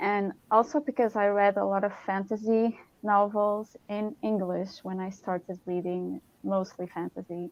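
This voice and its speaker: A woman with a slight Portuguese accent speaks at a fairly slow pace, her medium-pitched voice keeping a fairly even intonation. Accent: Portuguese accent in English, self-rated weak. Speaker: science writer and fantasy author. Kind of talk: panel discussion. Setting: online live stream. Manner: halting.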